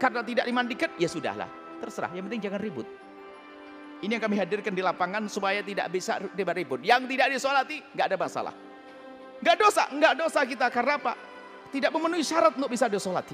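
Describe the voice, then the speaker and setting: A man's extremely high-pitched voice at a very fast pace, lively in intonation, with music in the background. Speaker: Islamic scholar giving a religious ruling. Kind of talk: religious lecture answering a question.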